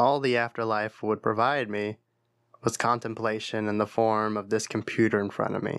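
At a moderate pace and medium pitch, a man speaks in a monotone, flat way, recorded very cleanly against a silent background. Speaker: audiobook-style horror narrator. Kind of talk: ghost story telling, dramatic first-person creepypasta narration.

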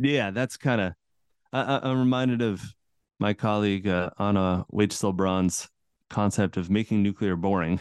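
A man with an American accent has a plain, everyday voice, fairly low in pitch with ordinary pitch variation. He keeps a moderate pace and very even loudness. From central Massachusetts, US. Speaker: cultural anthropologist and author. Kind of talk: interview.

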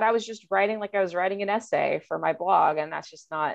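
A woman with a Californian accent, medium in pitch, with ordinary pitch variation. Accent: Californian American English. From Southern California. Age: 30s. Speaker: college English professor and food blogger. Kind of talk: casual chat.

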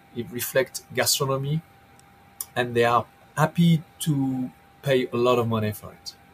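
Against noticeable background noise, a man of medium pitch talks at a fairly slow pace with ordinary pitch variation. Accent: French. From southern France. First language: French. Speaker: chef and restaurant owner. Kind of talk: interview. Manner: halting, many repeated words.

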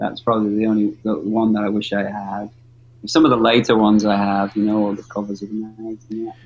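A man's fairly low-pitched, flat, monotone delivery at a fairly quick pace, with a Liverpool accent. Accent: Liverpool English, gravelly. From Liverpool, northwest England. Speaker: professional skateboarder. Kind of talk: casual interview chat. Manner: halting, many fillers.

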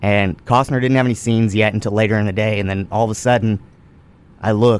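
This speaker talks very fast with a Texan accent. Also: man. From Texas, Goldthwaite. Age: 20s. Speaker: actor. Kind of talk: casual chat. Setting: studio.

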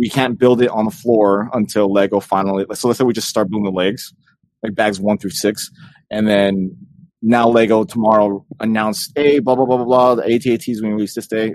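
A man with an American accent and an ordinary speaking voice, fairly low in pitch, fairly quick in pace, with fairly even intonation. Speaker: podcast co-host. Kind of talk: casual chat.

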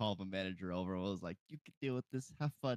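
In a normal speaking voice, the speaker talks at a fairly quick pace with ordinary pitch variation, in a dry, close sound with no echo. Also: man. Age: 20s. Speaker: podcast co-host. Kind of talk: casual chat.

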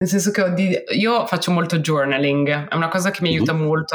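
With ordinary pitch variation, a woman speaks at a moderate pace in a very deep, low pitch for a woman. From Milan, northern Italy. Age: 30s. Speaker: founder of a women's outdoor sports community. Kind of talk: podcast interview. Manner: hesitant, with many repetitions.

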